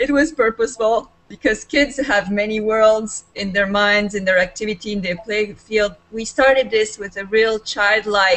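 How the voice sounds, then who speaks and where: A woman with a Serbian accent talks at a moderate pace, with hardly any pauses. Her pitch is fairly high and her intonation fairly even. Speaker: life coach. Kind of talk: video call discussion.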